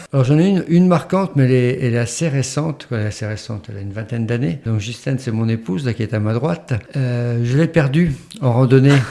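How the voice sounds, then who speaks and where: Noticeable background noise runs under a man speaking at a very fast pace. He has a medium pitch and ordinary pitch variation. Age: 60s. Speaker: retired hiker guest. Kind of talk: casual interview, telling anecdotes. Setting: podcast recording with wife present. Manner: halting, many hesitations and repetitions.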